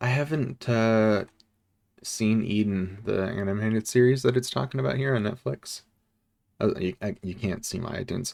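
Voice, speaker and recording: The speaker is a man with a fairly low pitch. His intonation is lively. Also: moderate pace. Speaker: VTuber streamer. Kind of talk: casual livestream chat.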